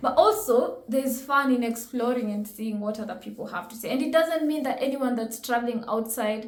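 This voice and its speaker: A woman speaks at a fairly quick pace with hardly any pauses, in a high pitch with ordinary variation, and audible room echo surrounds her. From Kenya. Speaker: reaction video host. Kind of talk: reaction commentary. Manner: animated.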